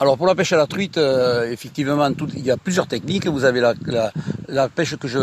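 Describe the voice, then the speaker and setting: Against noticeable background noise, a man with a fairly high pitch talks at a fairly quick pace with ordinary pitch variation. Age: 60s. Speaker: choir director and angler. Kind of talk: radio interview. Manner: hesitant, many fillers.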